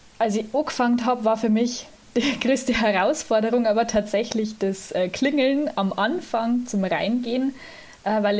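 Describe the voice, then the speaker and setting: A woman speaks in an ordinary speaking voice at a fairly high pitch. Her pace is moderate, her pitch variation ordinary and her loudness very even. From Lower Bavaria, Germany. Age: 20s. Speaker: student and church volunteer, organist. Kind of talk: interview.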